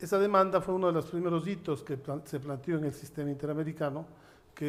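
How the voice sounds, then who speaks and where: This man has an ordinary speaking voice, fairly high in pitch, with fairly even intonation. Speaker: judge and human rights lawyer. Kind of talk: panel talk at a seminar.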